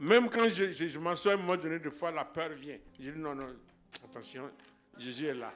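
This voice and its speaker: The speech moves at a moderate pace with long, frequent pauses, big swings in loudness and ordinary pitch variation. Audible room echo and noticeable background noise surround it. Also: man. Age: 60s. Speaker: church member giving healing testimony. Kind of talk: testimony. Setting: church. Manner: halting.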